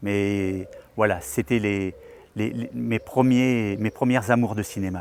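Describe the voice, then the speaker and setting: A man talks at a very slow pace with a fairly low pitch. His pitch variation is ordinary. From France, Perche region (Eure-et-Loir). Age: 60s. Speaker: retired craftsman, local election candidate. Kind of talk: filmed personal portrait, testimony. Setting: outdoors in front of the town hall. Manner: hesitant, with repetitions and fillers.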